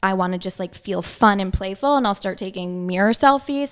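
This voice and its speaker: A woman's medium-pitched voice with a Long Island accent, ordinary pitch variation and a fairly quick pace, over music in the background. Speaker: holistic nutritionist. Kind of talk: interview. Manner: casual, filler-heavy.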